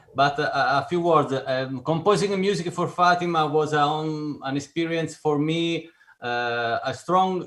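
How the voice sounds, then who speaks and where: A man speaks at a fairly slow pace in a fairly high pitch. His intonation is lively. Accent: Italian. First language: Italian. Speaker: film composer. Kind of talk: panel discussion. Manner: halting, searching for words.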